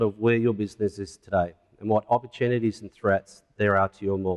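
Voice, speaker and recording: A man at a very fast pace, in a dry, close sound with no echo. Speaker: retail consultant. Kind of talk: conference presentation. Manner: formal.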